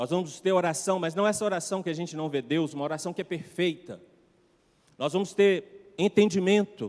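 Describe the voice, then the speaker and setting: A man speaks at a high pitch with ordinary variation and a moderate pace. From Brazil, Minas Gerais. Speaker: pastor. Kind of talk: sermon. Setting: church.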